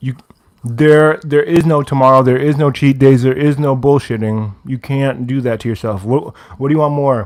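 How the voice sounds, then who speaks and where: Fairly even intonation and a moderate pace in a normal speaking voice. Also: man, medium pitch for a man. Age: 20s. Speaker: livestreamer, fitness enthusiast. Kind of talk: casual livestream chat.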